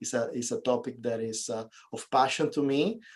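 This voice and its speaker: A man with a Venezuelan accent speaks at a moderate pace with medium pitch and ordinary pitch variation. His tone is dark and mellow over a quiet background. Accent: Venezuelan Spanish accent, noticeable. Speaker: real estate investor and realtor. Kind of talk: interview.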